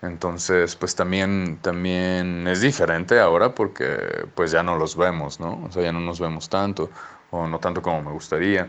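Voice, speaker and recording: The speaker is a man with a very deep, low pitch. He talks at a fairly slow pace. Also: fairly even intonation. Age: 30s. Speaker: interviewee sharing divorce experience. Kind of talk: pre-recorded interview answers.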